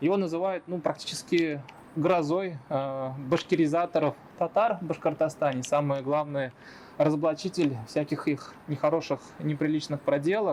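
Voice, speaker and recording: A man with a plain, everyday voice, fairly high pitched, at a fairly slow pace with ordinary pitch variation. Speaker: interviewer. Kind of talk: channel intro to camera.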